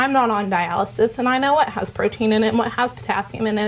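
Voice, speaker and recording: A woman speaks at a fairly quick pace with a fairly high pitch and ordinary pitch variation over noticeable background noise. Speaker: dietetic intern, student speaker. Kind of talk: informal talk to students. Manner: fast; animated.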